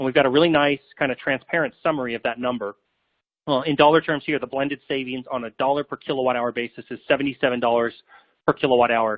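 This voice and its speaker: This man talks at a very fast pace with a medium pitch and fairly even intonation. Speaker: software company presenter. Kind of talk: webinar product demo. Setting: online webinar. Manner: casual with many filler words.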